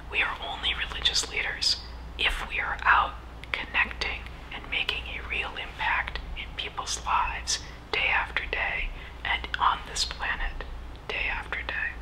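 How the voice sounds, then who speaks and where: Whispering at a fairly slow pace, with noticeable background noise. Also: woman. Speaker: minister, Unitarian Universalist. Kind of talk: sermon-style talk on religious leadership. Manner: whispered.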